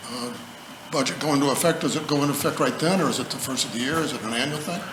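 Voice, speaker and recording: Over noticeable background noise and audible room echo, a man speaks with a fairly high pitch and ordinary pitch variation. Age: 80s+. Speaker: public commenter at council meeting. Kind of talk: public comment. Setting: city council meeting, podium.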